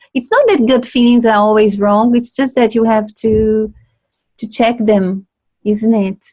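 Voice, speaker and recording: Fairly slow and somewhat breathy, a woman speaks at a fairly high pitch with a monotone, flat intonation. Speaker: inclusive leadership consultant, show host. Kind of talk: interview conversation.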